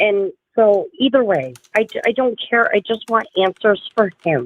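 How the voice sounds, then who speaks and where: A woman uses a plain, everyday voice at a fairly high pitch, speaking at a fairly slow pace with lively intonation and very even loudness. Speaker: livestream host discussing true crime. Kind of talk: casual livestream chat.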